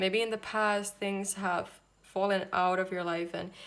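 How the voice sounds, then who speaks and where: Speaking with a non-native accent at a moderate pace, a woman keeps her medium pitch in monotone, flat intonation. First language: not English. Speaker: tarot reader. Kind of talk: tarot reading to camera.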